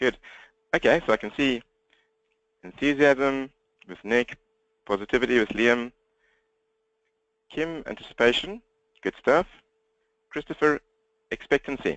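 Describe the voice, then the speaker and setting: A man with a South African accent speaks with ordinary pitch variation, long, frequent pauses and big swings in loudness, the sound dry and close with no echo. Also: medium pitch for a man. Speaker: business coach. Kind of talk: webinar presentation. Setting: webinar, talking to computer. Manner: fast.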